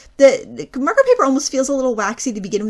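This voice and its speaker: A woman talks at a very fast pace. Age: 40s. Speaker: craft YouTuber. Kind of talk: tutorial. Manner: casual, with frequent fillers.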